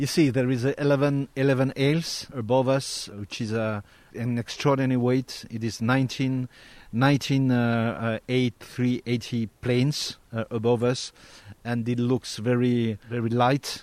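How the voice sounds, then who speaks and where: A man with a French accent at a very slow pace, monotone and flat, in a dry, close recording with no echo. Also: medium pitch for a man. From Corsica. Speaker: national tennis federation president. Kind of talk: interview.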